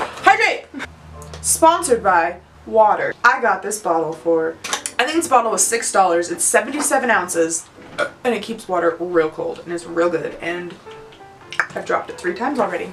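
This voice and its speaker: With an American accent, a medium-pitched woman talks at a moderate pace, her pitch swinging very widely and her loudness swinging a lot, with long, frequent pauses and noticeable background noise. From Utah. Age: 20s. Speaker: YouTuber, childcare worker. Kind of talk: casual chat. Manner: animated.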